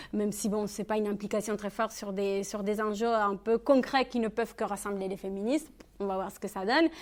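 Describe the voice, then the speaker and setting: Spoken with a Spanish accent at a fairly quick pace, the intonation stays fairly even. The recording is very clean, with a silent background. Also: woman, medium pitch for a woman. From Spain, Catalonia. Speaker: feminist activist, speaker. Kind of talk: Q&A answer at public talk. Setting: public conference hall. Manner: halting, many fillers.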